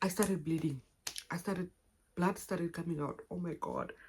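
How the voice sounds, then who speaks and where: In a fairly low pitch, a woman speaks with monotone, flat intonation and a somewhat breathy sound. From Namibia. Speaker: YouTuber. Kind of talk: personal story vlog. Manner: halting, self-correcting.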